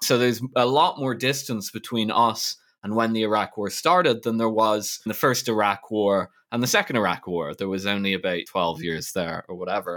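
Spoken at a fairly quick pace with ordinary pitch variation, this is a normal speaking voice. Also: man. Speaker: podcast co-host. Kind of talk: casual discussion.

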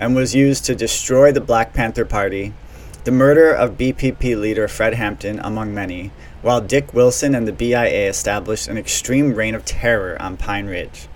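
A man speaks at a moderate pace and medium pitch, with ordinary pitch variation and noticeable background noise behind him. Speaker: podcast host. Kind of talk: scripted narration.

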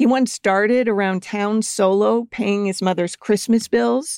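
Here a woman uses a normal speaking voice at a fairly high pitch with fairly even intonation. The sound is dry and close, with no echo. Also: very clean recording, silent background. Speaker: true crime podcast host and narrator. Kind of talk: true-crime narration, scripted. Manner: measured, serious, storytelling; clear and even-paced.

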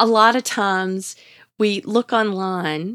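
A woman with a Southern US accent speaks at medium pitch in a warm tone, the sound dry and close with no echo on a very clean recording with a silent background. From US South. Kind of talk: devotional talk. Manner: warm, encouraging.

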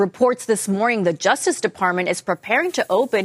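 The sound is dry and close, with no echo. A woman with a normal speaking voice speaks at a medium pitch with lively intonation. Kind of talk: newsreading.

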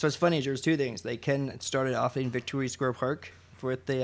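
A man talks in a normal speaking voice, pitched fairly high. The recording is very clean, with a silent background. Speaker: operations manager at a recycling nonprofit. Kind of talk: casual interview.

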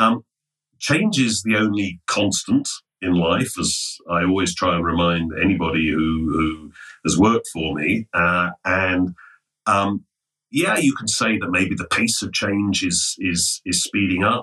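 In an English accent, a man with a very deep, low voice speaks fairly slowly with ordinary pitch variation. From England, London. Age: 60s. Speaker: finance executive. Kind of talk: interview.

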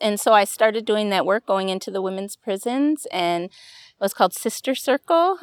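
A woman with a Wisconsin accent speaks at a moderate pace and medium pitch, her voice dry and close with no echo on a very clean recording over a silent background. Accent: local Wisconsin pronunciation. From Wisconsin, Stoughton and Madison. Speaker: director of a job training bakery. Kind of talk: interview. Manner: halting, many fillers.

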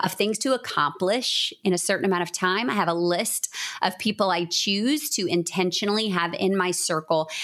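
Over noticeable background noise, a woman talks at a medium pitch with very even loudness. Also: ordinary pitch variation, moderate pace. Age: 40s. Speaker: author and business coach. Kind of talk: casual chat.

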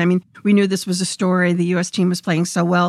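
Here a woman with an unremarkable speaking voice, medium pitch and an American accent talks at a fairly quick pace. The sound is dry and close with no echo on a very clean recording with a silent background. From Brooklyn, New York. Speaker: veteran hockey sportswriter. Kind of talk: interview storytelling.

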